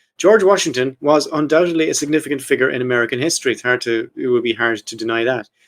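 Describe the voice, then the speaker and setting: A man with an Irish accent talks at a very fast pace with hardly any pauses. His pitch varies in an ordinary way. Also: medium pitch for a man. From Ireland. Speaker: podcast host. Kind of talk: casual chat about history. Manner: reading from notes.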